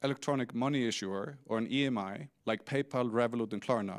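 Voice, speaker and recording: A man at a moderate pace with a medium pitch and ordinary pitch variation, on a very clean recording with a silent background. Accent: Icelandic. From Iceland. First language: Icelandic. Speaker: fintech CEO. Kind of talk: conference talk. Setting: stage with audience.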